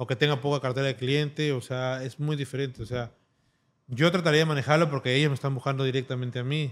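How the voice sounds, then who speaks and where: This is a man talking at a very fast pace. His intonation stays fairly even. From Peru. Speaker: tattoo artist; guest. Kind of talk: interview. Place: studio. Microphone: studio mic.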